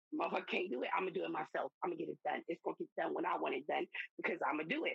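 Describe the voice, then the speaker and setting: The sound is dry and close with no echo as a woman speaks with a Southern US accent. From US South. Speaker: podcast guest. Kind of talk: casual chat.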